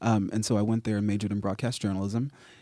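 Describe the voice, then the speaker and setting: The recording is very clean, with a silent background. A man with an American accent speaks in a fairly low, dark, mellow tone. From South Texas. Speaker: marketing director at a software company. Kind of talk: radio interview. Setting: studio.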